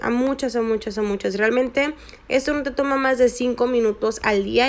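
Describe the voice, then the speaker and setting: A woman speaks at a moderate pace with fairly even intonation and a high pitch. Noticeable background noise runs underneath. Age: 20s. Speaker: network marketing recruiter and investor. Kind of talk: screen-recorded tutorial.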